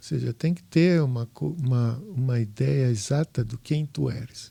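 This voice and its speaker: A man speaks at a fairly slow pace in a dark, mellow tone, somewhat breathy, with lively intonation. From southern Brazil, Porto Alegre. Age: 60s. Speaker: home inspector, former architect. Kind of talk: podcast interview. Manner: halting.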